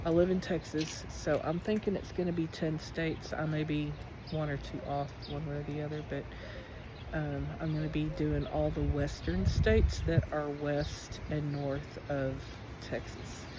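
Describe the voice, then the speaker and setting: A woman talks at a fairly slow pace. The recording has audible room echo and noticeable background noise. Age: 50s. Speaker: school teacher and motorcycle traveler. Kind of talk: personal vlog. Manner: casual, hesitant with fillers.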